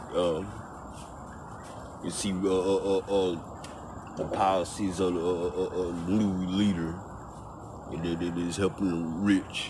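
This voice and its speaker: A man speaks with a very deep, low pitch at a fairly slow pace, leaving long, frequent pauses. His intonation is monotone and flat, with noticeable background noise behind him. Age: 50s. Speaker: homeless man. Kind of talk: casual talk to camera.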